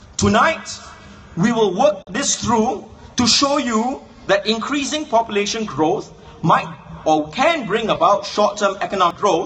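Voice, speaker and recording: A man's high-pitched voice, fairly slow, with lively intonation over noticeable background noise. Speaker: political speaker. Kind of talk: political speech. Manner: rhetorical, questioning.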